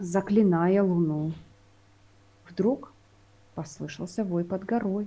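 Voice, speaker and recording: Somewhat breathy, with a dark, mellow tone, a woman of medium pitch speaks at a fairly slow pace with ordinary pitch variation and long, frequent pauses. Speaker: poet. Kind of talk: poetry reading; casual chat. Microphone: unstable internet connection.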